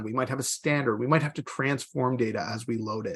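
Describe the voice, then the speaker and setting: This man talks at a fairly quick pace. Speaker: GIS webinar presenter. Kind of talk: webinar tutorial. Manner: fast.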